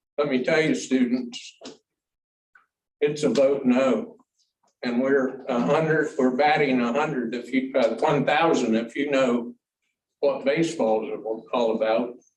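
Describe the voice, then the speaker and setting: Recorded with audible room echo, a man at medium pitch talks fairly slowly, leaving long, frequent pauses. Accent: American. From Ohio, US Midwest. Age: 70s. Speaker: public commenter at school board meeting. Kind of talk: public comment speech. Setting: board meeting room with audience. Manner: animated.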